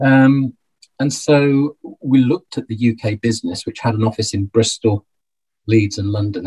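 The voice is dark and mellow, somewhat breathy, with a Birmingham accent. Delivery is at a moderate pace with ordinary pitch variation, and the sound is dry and close with no echo. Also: man. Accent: Birmingham (Brummie) English. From Birmingham, England. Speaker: financial planner and accountant. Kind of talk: interview conversation. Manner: halting, many repetitions.

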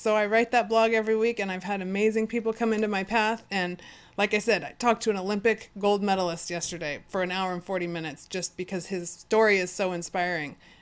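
The recording is very clean with a silent background, as a woman with an American accent talks at a very fast pace. Her pitch is medium and her intonation fairly even. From California (Fresno). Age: 40s. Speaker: beach volleyball player and blogger. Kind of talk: casual chat. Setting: studio, in person.

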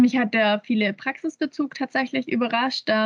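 This woman's voice comes across somewhat breathy. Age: 20s. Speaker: university student. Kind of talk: interview.

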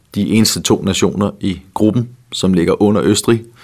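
At a fairly slow pace, a man with a plain, everyday voice speaks at a fairly low pitch. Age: 60s. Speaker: betting tipster co-host. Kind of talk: casual chat.

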